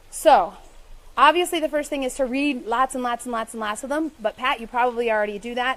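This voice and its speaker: A woman talks at a fairly quick pace in a high voice, her loudness swinging widely and her pitch moving in an ordinary way. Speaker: romance author. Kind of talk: live stream talk with viewer questions. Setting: live Facebook video. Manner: fast.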